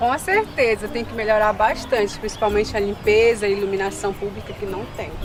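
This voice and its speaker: Barely pausing, a woman talks with fairly even intonation over noticeable background noise. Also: fairly high pitch for a woman, fairly quick pace. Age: young. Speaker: interviewee, local resident. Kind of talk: street interview.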